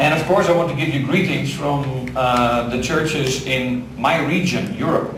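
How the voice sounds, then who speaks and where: A fairly high-pitched man speaks at a fairly slow pace with ordinary pitch variation. Audible room echo and noticeable background noise are present. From Netherlands. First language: Dutch (speaking Spanish). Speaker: visiting pastor. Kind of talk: sermon. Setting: church. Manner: halting.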